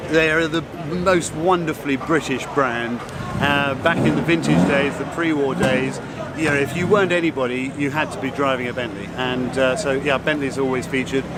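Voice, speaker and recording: With ordinary pitch variation and a fairly high pitch, a man speaks at a moderate pace through noticeable background noise and audible room echo. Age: 60s. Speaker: car show judge. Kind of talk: interview.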